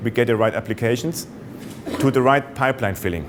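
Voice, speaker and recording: Noticeable background noise runs behind this recording. A man speaks at a medium pitch in a German accent. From Germany. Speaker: sales executive. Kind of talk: business presentation. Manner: hesitant, many fillers.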